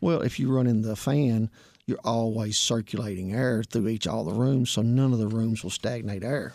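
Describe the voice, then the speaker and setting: The speaker has a Southern US accent. The pace is moderate. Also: man, medium pitch for a man. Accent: country Southern US. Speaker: heating and air technician. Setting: radio studio. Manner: sleepy, quiet.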